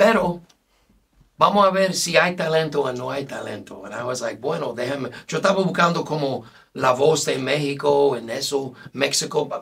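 A man with an English accent speaks at a moderate pace and fairly high pitch, his loudness swinging widely while his pitch varies in an ordinary way. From United States. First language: English (speaking Spanish). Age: 50s. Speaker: singer; guest. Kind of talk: casual interview. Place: studio.

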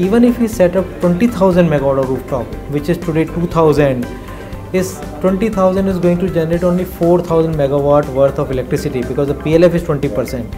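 Clear music plays in the background as a man with a high pitch talks at a very fast pace with ordinary pitch variation. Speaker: company founder and CEO. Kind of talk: interview answer. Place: office. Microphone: lapel.

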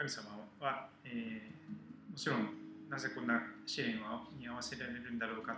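A man's voice with audible room echo and noticeable background noise. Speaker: host. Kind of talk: sermon-like song introduction. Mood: calm, earnest. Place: cafe.

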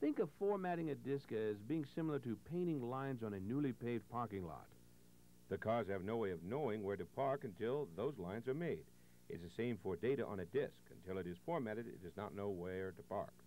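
A man's dark, mellow voice at medium pitch, moving at a fairly quick pace. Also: lively intonation. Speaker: instructional video narrator. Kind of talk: scripted 1980s instructional-video narration, step-by-step tutorial. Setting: voiceover over on-screen computer demonstration. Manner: clear, measured, formal, patient.

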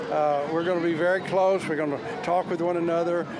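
A man's voice, with ordinary pitch variation, comes through noticeable background noise. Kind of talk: interview answer. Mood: warm, grateful, emotional. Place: street. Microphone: handheld.

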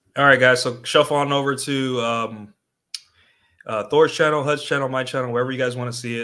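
A man talks at a fast pace in a bright, sharp tone. His pitch sits in the medium range and barely moves.

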